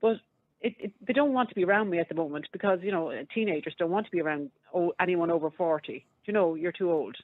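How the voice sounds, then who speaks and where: Talking very fast in an Irish accent, a woman uses a fairly low pitch with ordinary pitch variation. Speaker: radio phone-in caller. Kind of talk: casual chat.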